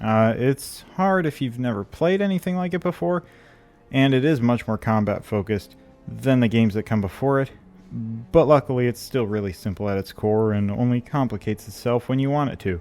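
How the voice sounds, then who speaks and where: Lively intonation over music in the background. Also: man, medium pitch for a man, fairly quick pace. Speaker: gaming youtuber. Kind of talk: video essay. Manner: hesitant, many fillers.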